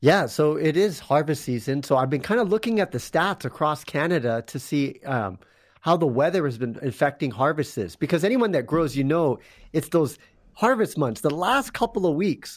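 With lively intonation, a man talks at a moderate pace. He has an unremarkable speaking voice, pitched fairly high. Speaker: gardening and tech contributor. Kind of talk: casual chat. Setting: video call.

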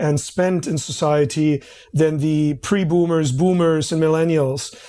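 Someone speaks at a moderate pace with a German accent. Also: man. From East Berlin, Germany. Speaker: marketing executive. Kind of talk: interview.

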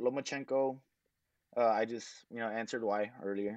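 Against a quiet background, a man with an American accent speaks in a dark, mellow tone. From Texas. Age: 20s. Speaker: professional boxer. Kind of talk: interview. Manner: halting, with many fillers.

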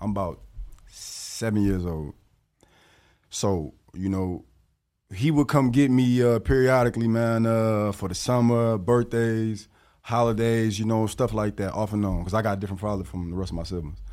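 A man's dark, mellow voice sits at a fairly low pitch, moving at a moderate pace with ordinary pitch variation on a very clean recording with a silent background. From US Midwest (northern Illinois). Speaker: professional boxer. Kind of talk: interview.

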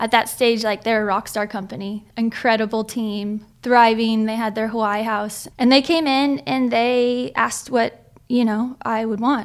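On a very clean recording with a silent background, a woman talks at a moderate pace and fairly high pitch, her intonation fairly even. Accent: American. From California. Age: 20s. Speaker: professional surfer. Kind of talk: casual interview.

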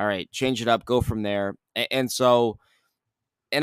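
Heard in a dry, close sound with no echo, a man has an unremarkable speaking voice at a medium pitch and talks at a fairly quick pace. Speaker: sports radio reporter, guest. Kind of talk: casual sports podcast chat.

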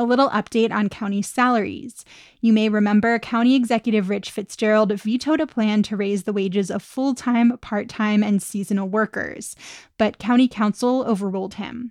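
In an unremarkable speaking voice, a woman with a fairly high pitch speaks at a moderate pace with fairly even intonation, the sound dry and close with no echo. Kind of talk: news reading.

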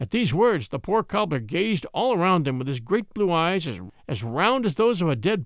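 Someone is reading aloud in a natural voice.

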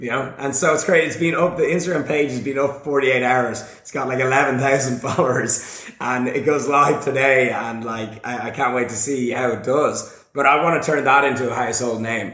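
An animated voice with an Irish accent runs on with hardly any pauses. Audible room echo and noticeable background noise come through. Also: man, medium pitch for a man, fairly quick pace. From Ireland. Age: 30s. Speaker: fitness YouTuber. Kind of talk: casual chat. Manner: loud.

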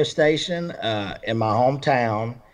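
Medium pitch from a man, its rise and fall ordinary. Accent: Alabama. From Alabama, Roanoke area. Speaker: country music singer-songwriter. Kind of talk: casual interview chat. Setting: remote call via Skype. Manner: halting, many fillers.

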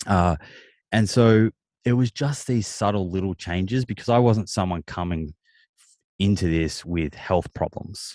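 With an Australian accent, a man speaks at a very deep, low pitch and a fairly slow pace, leaving long, frequent pauses. The background is quiet, and the sound is dry and close with no echo. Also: ordinary pitch variation. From Australia, Melbourne. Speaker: nutritionist and author. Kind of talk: casual interview chat.

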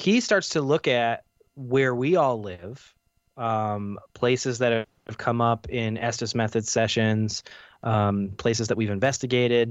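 With an ordinary speaking voice, a man talks at medium pitch and a fairly slow pace. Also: ordinary pitch variation. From Canada. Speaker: paranormal investigator and filmmaker. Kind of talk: interview.

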